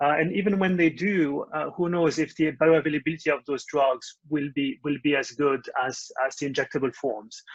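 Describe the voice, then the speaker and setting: A man's fairly high-pitched voice with a French accent, ordinary pitch variation, a moderate pace and hardly any pauses. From France. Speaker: startup founder. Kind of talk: interview. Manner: halting, many fillers.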